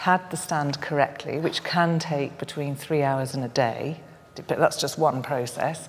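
A woman speaks at a low pitch and a fairly slow pace. Her intonation stays fairly even.

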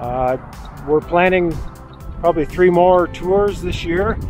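With clear music in the background and a dry sound with no echo, a man with a high pitch talks at a moderate pace. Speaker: bike touring vlogger. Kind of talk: casual vlog chat. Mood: content, relaxed wrap-up. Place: street. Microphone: phone near.

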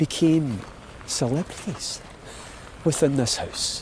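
Over noticeable background noise, a man with a Glaswegian accent speaks at a very slow pace and a fairly high pitch. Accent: Glaswegian Scottish. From Scotland. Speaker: actor. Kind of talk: personal storytelling walk narration.

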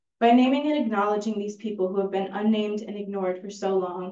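A dark, mellow voice moves at a moderate pace with fairly even intonation, and room echo is audible. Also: woman.

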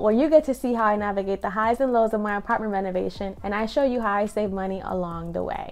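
A woman at a fairly quick pace, with ordinary pitch variation and faint music in the background. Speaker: home renovation vlogger. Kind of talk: casual vlog chat. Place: home room. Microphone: phone near.

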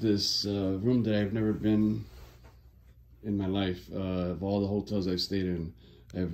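The man's pitch is very deep and low. He talks at a moderate pace. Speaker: guest. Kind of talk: casual room tour narration. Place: home room. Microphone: phone near.

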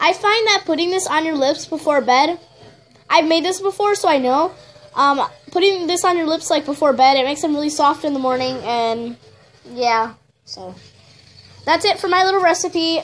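With noticeable background noise, a woman talks at an extremely high pitch with lively intonation. Her pace is moderate, broken by long, frequent pauses. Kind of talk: casual DIY tutorial talk to camera. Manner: hesitant, stuttering, many fillers.

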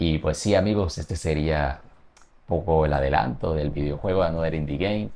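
A man's voice sits at a very deep, low pitch with a dark, mellow tone. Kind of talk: casual vlog chat. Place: home room.

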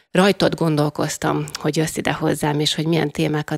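A woman with a very deep, low voice and vocal fry talks at a moderate pace over a quiet background. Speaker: radio host. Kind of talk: interview host intro and question. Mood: warm, friendly. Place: studio. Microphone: studio mic.

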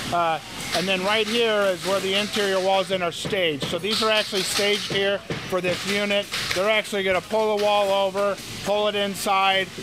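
A man speaks at a moderate pace. Noticeable background noise is present. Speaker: factory manager giving tour. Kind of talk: interview answer. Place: factory.

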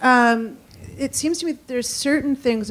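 Here a woman is talking. She keeps a moderate pace. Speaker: physicist and author; speaker. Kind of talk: lecture. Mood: wondering, enthusiastic. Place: hall. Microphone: handheld.

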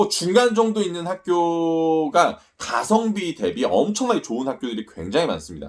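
Speaking at a moderate pace, a man uses lively intonation and a high pitch. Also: hardly any pauses. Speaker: study-abroad agency owner. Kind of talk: casual talk to camera.

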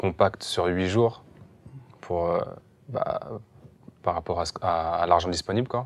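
A man with a very deep, low pitch speaks at a very slow pace. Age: young. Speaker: film director. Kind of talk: interview. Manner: halting. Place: hall.

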